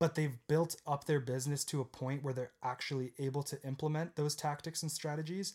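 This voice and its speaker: A somewhat breathy man talks at a fairly quick pace with hardly any pauses. His pitch sits fairly high, and his intonation stays fairly even. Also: very clean recording, silent background. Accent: Canadian. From Canada, southern Ontario (Guelph, Waterloo). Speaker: podcast co-host, young entrepreneur. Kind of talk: casual chat. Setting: home basement studio.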